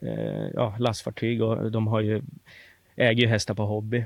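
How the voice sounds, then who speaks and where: A man speaks at a fairly slow pace. His pitch is medium for a man. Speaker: harness racing trainer. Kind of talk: interview.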